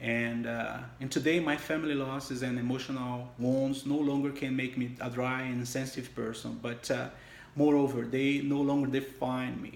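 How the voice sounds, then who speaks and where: The speech has a strong non-native accent and monotone, flat intonation, with audible room echo. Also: man, medium pitch for a man, moderate pace. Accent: heavy foreign. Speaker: church member giving testimony. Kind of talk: testimony. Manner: halting.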